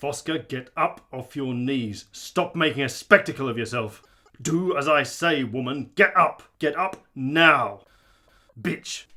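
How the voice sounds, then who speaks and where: A man puts on a character voice, pitched fairly high and delivered at a fairly slow pace. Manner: angry, contemptuous.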